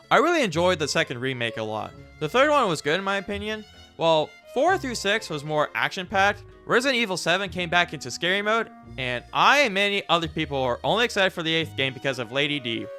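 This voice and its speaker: Over music in the background, a man talks at a very fast pace. His pitch is high and swings very widely. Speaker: gaming video creator. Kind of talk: casual game review talk to camera.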